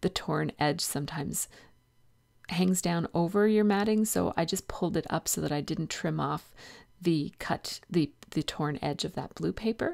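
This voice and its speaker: Soft-spoken, a woman talks at a fairly low pitch with ordinary pitch variation on a very clean recording with a silent background. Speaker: scrapbooking video creator. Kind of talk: tutorial. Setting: home, early morning.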